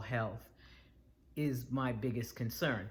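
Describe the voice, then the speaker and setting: Her pitch very deep and low, a woman talks in a somewhat breathy voice with fairly even intonation. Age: 60s. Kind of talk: casual talk to camera.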